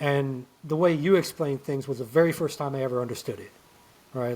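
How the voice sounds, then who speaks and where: A man speaks at a fairly quick pace. His pitch is fairly high for a man, with ordinary variation. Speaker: cybersecurity instructor. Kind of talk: casual interview chat. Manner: fast when excited; animated.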